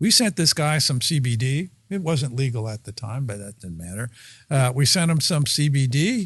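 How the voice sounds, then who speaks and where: A man speaks at a moderate pace with a fairly high, somewhat breathy voice. His pitch swings very widely and his loudness varies greatly. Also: quiet background. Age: 70s. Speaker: pharmacist. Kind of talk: casual chat. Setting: studio. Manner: halting, many filler uhs.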